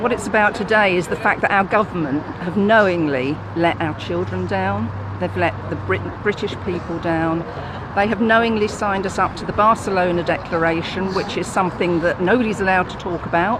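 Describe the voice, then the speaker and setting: A woman's fairly low pitch comes through over noticeable background noise. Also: ordinary pitch variation, fairly quick pace. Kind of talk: street interview answer.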